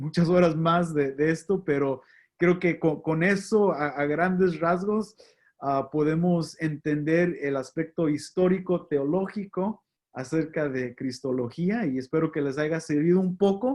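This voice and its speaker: At a very slow pace, a man with a slight non-native accent speaks at a fairly high pitch with ordinary pitch variation. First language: English (speaking Spanish). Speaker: pastor. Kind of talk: lecture. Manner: halting.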